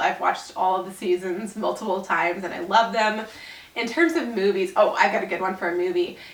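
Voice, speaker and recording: A woman speaks with fairly even intonation in a room with audible echo and noticeable background noise. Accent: American. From Southern California, family from Little Rock, Arkansas. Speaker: YouTuber and Etsy seller. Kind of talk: casual Q&A vlog.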